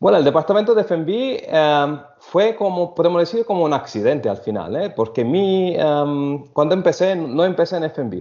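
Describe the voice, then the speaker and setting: Someone with an Italian accent speaks at a moderate pace, with lively intonation and hardly any pauses. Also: man, high pitch for a man. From Italy (Sicily). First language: Italian (speaking Spanish). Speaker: hotel food and beverage director. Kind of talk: interview. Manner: halting.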